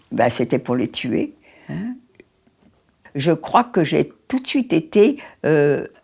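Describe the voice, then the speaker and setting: Here a woman talks at a very slow pace with long, frequent pauses. Her dark, mellow tone moves through very wide pitch swings. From France, Paris. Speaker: Holocaust survivor. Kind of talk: testimony. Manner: halting.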